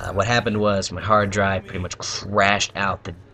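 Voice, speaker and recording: This man speaks quietly, his pitch fairly low. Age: young. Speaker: gaming YouTuber. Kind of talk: casual gameplay commentary. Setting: at home at night. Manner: halting.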